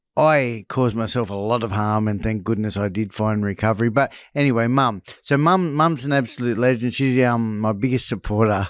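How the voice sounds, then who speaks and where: A man with an Australian accent at a medium pitch and a fairly quick pace, with ordinary pitch variation, in a very clean recording over a silent background. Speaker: former drug addict and escaped prisoner. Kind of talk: interview testimony.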